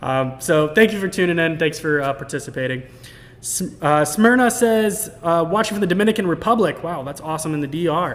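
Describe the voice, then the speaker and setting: A man with a high pitch and lively intonation, talking at a fairly quick pace. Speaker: technical specialist hosting live product stream. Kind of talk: live stream Q&A and product tutorial. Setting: live stream with chat. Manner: fast; animated.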